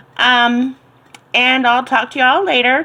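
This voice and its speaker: Here a woman with an American accent speaks at a fairly slow pace. Her voice is fairly high and her tone relaxed. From Florida, central (US South). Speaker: cooking and herbal tea vlogger. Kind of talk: casual tutorial. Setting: home kitchen. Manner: relaxed, many filler ums.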